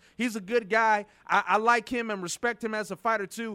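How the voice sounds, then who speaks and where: In a raised, projected voice, a man speaks at an extremely high pitch and a fairly quick pace. His tone is bright, sharp and animated. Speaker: radio host. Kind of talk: radio interview. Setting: radio show. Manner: halting, repeats words.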